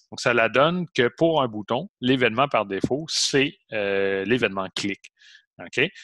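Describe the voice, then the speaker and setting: Recorded with a dry, close sound and no echo, a man with a medium pitch speaks very slowly in a bright, sharp tone. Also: lively intonation. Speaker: college programming teacher. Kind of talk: online lecture.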